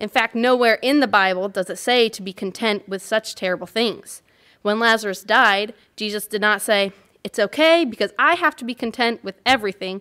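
Against a quiet background, the voice has a bright, sharp tone, a moderate pace and ordinary pitch variation. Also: woman. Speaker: church member sharing reflection. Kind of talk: testimony. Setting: church. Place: church. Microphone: podium.

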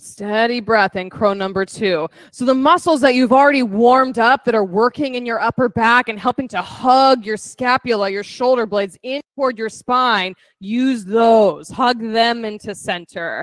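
An unremarkable speaking voice, a woman talks at a moderate pace with hardly any pauses, fairly high pitch and ordinary pitch variation, in a dry sound with no echo over a quiet background. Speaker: fitness instructor. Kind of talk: guided yoga class, cueing poses. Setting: in-person studio class with online participants. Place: gym.

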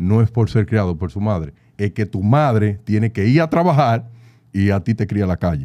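A man with a Dominican accent, fairly low in pitch, dark and mellow in tone, with lively intonation. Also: quiet background. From Dominican Republic. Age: young. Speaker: data analyst. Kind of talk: interview conversation. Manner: animated. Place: studio. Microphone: studio mic.

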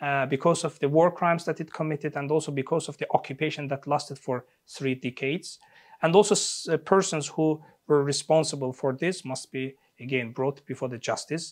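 Here a man talks at a fairly quick pace with fairly even intonation. The background is quiet. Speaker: interview guest, political commentator. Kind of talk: interview answer. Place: studio. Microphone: lapel.

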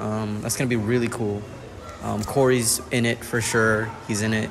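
The voice belongs to a man. Behind it, noticeable background noise is present. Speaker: vlogger. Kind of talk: casual vlog chat. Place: hall. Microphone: phone near.

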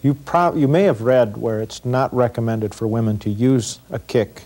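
This man speaks at a moderate pace with ordinary pitch variation. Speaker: self-defense instructor. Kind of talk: tutorial. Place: studio. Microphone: lapel.

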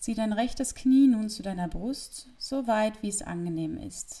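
Somewhat breathy, with a dark, mellow tone, a woman talks at a fairly slow pace with ordinary pitch variation. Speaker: yoga instructor. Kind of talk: yoga class instruction. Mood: calm, friendly, relaxing. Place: home room. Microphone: lapel.

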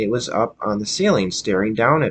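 A man's unremarkable speaking voice, fairly low in pitch, with ordinary pitch variation at a moderate pace. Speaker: storyteller. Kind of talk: story reading. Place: home room. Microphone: webcam.

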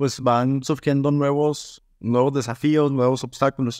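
A man's medium-pitched voice, dry with no echo, over a quiet background. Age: 20s. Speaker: real estate business owner. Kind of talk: audience Q&A conversation. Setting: video call. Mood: thoughtful, earnest. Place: home room. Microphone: webcam.

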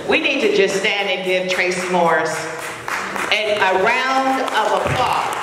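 A woman talks at a fairly slow pace. Audible room echo and noticeable background noise fill the recording. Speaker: community leader. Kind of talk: award presentation speech. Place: hall.

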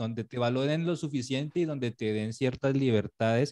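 Over a quiet background, a man with a Cali accent speaks at a moderate pace with fairly even intonation. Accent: Colombian (Caleño) Spanish. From Colombia, Cali. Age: 30s. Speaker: illustrator; guest. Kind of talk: casual interview. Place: home room. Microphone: video call.

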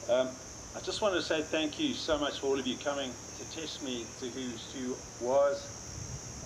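Noticeable background noise behind a man's speech. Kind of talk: memorial speech. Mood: somber, warm. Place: garden. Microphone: camera far.

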